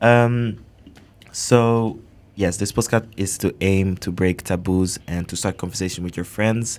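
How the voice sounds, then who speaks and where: This very clean recording has a silent background. A man speaks with a plain, everyday voice at a fairly low pitch. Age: 19. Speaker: student podcast host. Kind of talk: podcast introduction.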